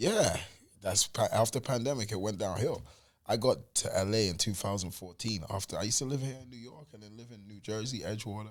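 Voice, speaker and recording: A man with a fairly low pitch at a fairly quick pace, ordinary pitch variation and big swings in loudness. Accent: London. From South London, England. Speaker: music manager. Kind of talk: casual interview chat.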